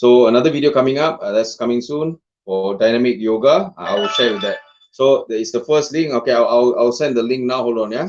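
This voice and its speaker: Music behind a fairly quick male voice, medium in pitch, its pitch varying in an ordinary way. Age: 40s. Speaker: fitness trainer. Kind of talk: casual chat. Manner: halting.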